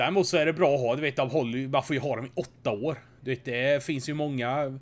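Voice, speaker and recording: A man speaks at a fairly quick pace with a plain, everyday voice. His pitch is medium, with ordinary variation. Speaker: podcast host. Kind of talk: casual chat.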